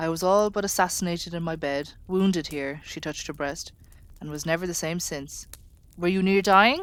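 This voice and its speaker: A plain, everyday voice from a woman, medium in pitch with ordinary variation, at a moderate pace, on a very clean recording with a silent background. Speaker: audiobook reader. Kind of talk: audiobook reading, ASMR sleep story. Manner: soft-spoken.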